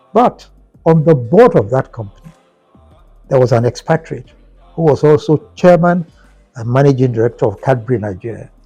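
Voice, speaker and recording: Over music in the background, a man speaks at a medium pitch and a moderate pace with lively intonation and long, frequent pauses, the sound dry and close with no echo. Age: 80s+. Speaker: former broadcaster and company executive. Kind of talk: interview answer.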